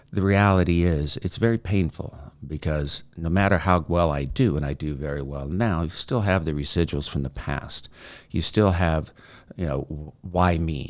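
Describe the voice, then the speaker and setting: A man's very deep, low voice with ordinary pitch variation on a very clean recording with a silent background. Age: 60s. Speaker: mental health advocate. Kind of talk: personal testimony. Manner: conversational with hesitations.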